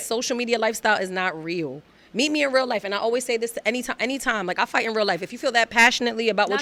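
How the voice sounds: Talking at a very fast pace, a woman with a Brooklyn accent has a fairly high, bright, sharp voice with ordinary pitch variation. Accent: Brooklyn New York.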